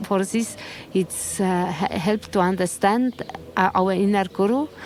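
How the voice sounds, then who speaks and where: A woman speaks fairly slowly at a medium pitch. Her pitch varies in an ordinary way, and background noise is noticeable. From Estonia. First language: Estonian. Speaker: Buddhist nun. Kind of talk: interview testimony. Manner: halting.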